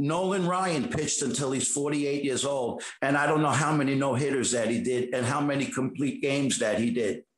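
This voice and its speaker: The voice carries a New York accent and moves at a fairly quick pace with hardly any pauses. Loudness stays very even, and pitch varies in an ordinary way. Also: man, fairly high pitch for a man. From New York City, Queens. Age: 60s. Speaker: actor and bodybuilder. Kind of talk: interview. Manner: animated.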